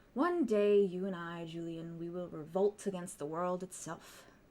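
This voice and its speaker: A woman's put-on character voice at a medium pitch. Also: moderate pace, fairly even intonation. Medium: actual play. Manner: smug, conspiratorial.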